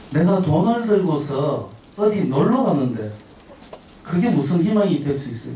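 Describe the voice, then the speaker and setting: Over noticeable background noise and audible room echo, a man speaks very slowly in a fairly high pitch that swings very widely. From Gyeongsang, South Korea. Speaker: travel speaker, head of a travel organization. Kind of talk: lecture to high school students. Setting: school auditorium with student audience. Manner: frequent filler 'uh' pauses.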